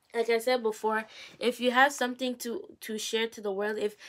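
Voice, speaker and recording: Intonation stays fairly even while the delivery moves at a moderate pace. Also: woman. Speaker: YouTuber giving faith-based advice. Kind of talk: casual vlog advice talk. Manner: halting, with repeated words. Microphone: poor recording quality.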